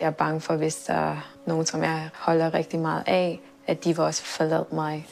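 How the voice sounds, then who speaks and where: A woman speaks at a moderate pace with very even loudness. Noticeable background noise sits behind her. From Thailand until age six, then raised by Danish family in Switzerland. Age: 20s. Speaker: adoptee searching for birth parents. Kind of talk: documentary interview.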